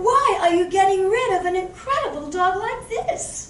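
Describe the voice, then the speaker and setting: Squeaky and put on as a character voice, it carries a slight echo over clear background noise. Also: woman, extremely high pitch for a woman, moderate pace. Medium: stage play. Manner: blunt, dry.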